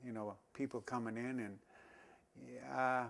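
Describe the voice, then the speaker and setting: A man with an Alberta accent speaks at medium pitch and a fairly slow pace. His intonation is fairly even. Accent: Canadian prairie, rural northern Alberta. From northern Alberta, Canada. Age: 60s. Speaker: local senior sharing town history. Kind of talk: oral history interview. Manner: halting, many fillers and restarts.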